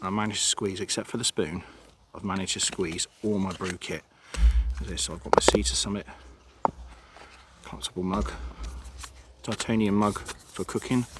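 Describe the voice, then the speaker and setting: Over noticeable background noise, a man talks at a fairly quick pace in a fairly low voice with lively intonation and long, frequent pauses. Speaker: hiking vlogger. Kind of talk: outdoor vlog narration. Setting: outdoors. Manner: quiet, hushed.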